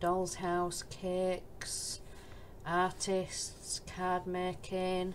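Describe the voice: A woman with a Yorkshire accent speaks very slowly in a monotone, flat intonation at a fairly low pitch.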